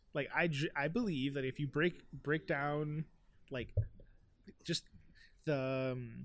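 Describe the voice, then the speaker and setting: A fairly high, fairly slow male voice in a Miami accent, with ordinary pitch variation. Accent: Miami American English. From Miami, US. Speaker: rapper. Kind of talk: casual interview chat.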